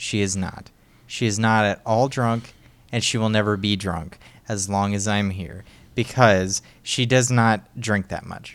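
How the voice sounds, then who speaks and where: A man with an unremarkable speaking voice talks at a fairly low pitch and fairly slow pace, his intonation fairly even. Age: 20s. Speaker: podcast co-host. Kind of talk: casual chat.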